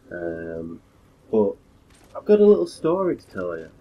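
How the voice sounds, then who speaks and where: At a fairly slow pace, a man with a British accent talks with ordinary pitch variation. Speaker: gaming YouTuber and call centre worker. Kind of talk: casual gameplay commentary vlog.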